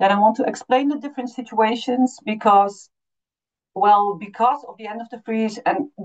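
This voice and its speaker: A woman with a Dutch accent speaks at a moderate pace. Her pitch is fairly high. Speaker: refugee support consultant. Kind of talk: webinar presentation. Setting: online webinar. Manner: halting, many fillers.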